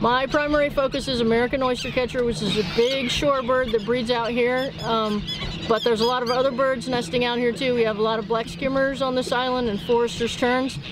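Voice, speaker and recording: Her voice is high-pitched, at a fairly quick pace with hardly any pauses. This woman keeps very even loudness and fairly even intonation against noticeable background noise. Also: dry sound with no echo. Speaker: forest biologist. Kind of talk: explanatory demonstration. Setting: outdoors in forest. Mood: calm, friendly. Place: boat.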